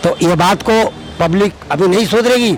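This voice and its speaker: Against noticeable background noise, a man talks in a high pitch with ordinary pitch variation. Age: 70s. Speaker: member of the public. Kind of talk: street interview.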